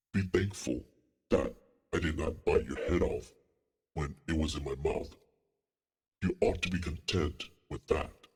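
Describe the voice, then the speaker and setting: A put-on character voice from a man, very deep and low, at a moderate pace. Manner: gruff, indignant.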